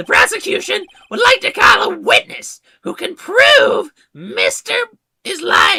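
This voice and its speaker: An extremely high-pitched put-on character voice at a fairly slow pace. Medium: game stream.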